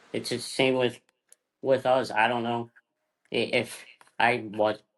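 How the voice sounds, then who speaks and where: A man at a moderate pace, medium pitch. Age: 30s. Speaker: podcast co-host. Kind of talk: casual interview chat. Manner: halting, repeats words.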